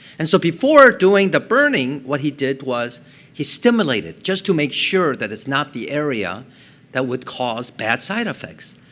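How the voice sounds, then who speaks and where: With a Korean accent, this man's voice swings very widely in pitch. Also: fairly high pitch for a man, moderate pace. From South Korea, moved to Colorado at ten. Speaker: neurosurgeon. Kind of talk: public talk.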